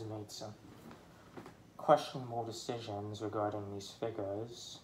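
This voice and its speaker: Over light background noise and audible room echo, a man talks at a fairly slow pace. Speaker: toy collector vlogger. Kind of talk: angry rant, unscripted, about toys. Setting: home, filming alone with toys. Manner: halting, stuttering, venting. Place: home room. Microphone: phone near.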